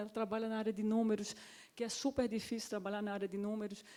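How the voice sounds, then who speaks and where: The voice has a dark, mellow tone and runs at a very fast pace. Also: woman. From Pernambuco, northeast Brazil. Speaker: panel speaker, africanist working in economics. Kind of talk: panel discussion. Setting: stage with audience at a summit.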